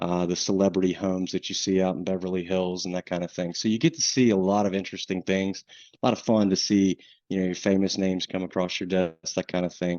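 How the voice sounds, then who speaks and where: A man talks very fast with a Southern US accent. His pitch is very deep and low, and his intonation stays monotone and flat. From US South, coastal North Carolina. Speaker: insurance underwriting manager. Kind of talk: webinar presentation. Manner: casual, many fillers.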